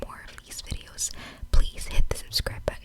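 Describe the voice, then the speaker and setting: A woman whispers over noticeable background noise. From Filipino Canadian. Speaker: ASMR vlogger / beauty and lifestyle creator. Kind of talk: ASMR makeup haul and unboxing, casual talk to camera. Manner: friendly, conversational; whispering.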